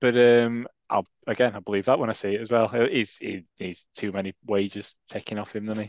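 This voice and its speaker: In a Yorkshire accent, a man talks with monotone, flat intonation, the sound dry and close with no echo and the background quiet. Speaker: football fan podcast co-host. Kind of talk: casual chat.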